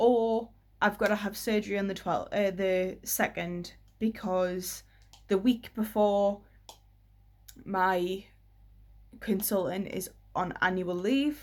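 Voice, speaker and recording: In a British accent, a woman speaks at a very slow pace with long, frequent pauses, her pitch medium and its variation ordinary. The recording is very clean, with a silent background. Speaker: vlogger. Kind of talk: personal vlog update.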